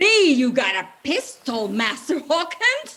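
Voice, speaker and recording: In a put-on character voice, the speaker goes at a fairly slow pace with a high pitch and very wide pitch swings. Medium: stage play. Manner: sly, wheedling.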